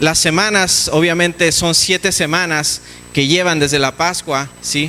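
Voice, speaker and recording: Noticeable background noise surrounds a man with a fairly high pitch. He speaks at a moderate pace with ordinary pitch variation. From Mexico. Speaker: pastor. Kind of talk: sermon. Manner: halting, repeats words.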